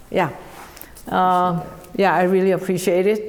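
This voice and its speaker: A woman speaks with a Korean accent at a medium pitch. Her pace is fairly slow. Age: 70s. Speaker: piano teacher. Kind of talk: interview. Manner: halting, many fillers.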